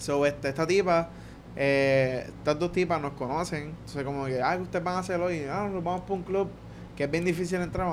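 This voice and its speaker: A man speaks at a fairly quick pace with a Puerto Rican accent, his voice fairly high for a man, with audible room echo. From Puerto Rico, Guaynabo. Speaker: podcast guest, traveler. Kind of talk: casual chat, travel stories. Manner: animated.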